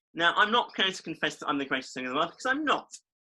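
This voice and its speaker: A man speaks in an East Midlands accent with a bright, sharp tone and very wide pitch swings. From East Midlands, England. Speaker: podcast co-host. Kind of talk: casual chat.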